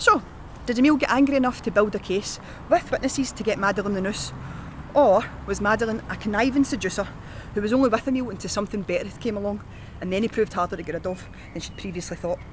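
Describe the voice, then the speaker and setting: With a Scottish accent, a woman talks at a very fast pace in a fairly high pitch, with ordinary pitch variation and long, frequent pauses. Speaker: tour guide. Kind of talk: historical walking-tour narration to camera. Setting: outdoors.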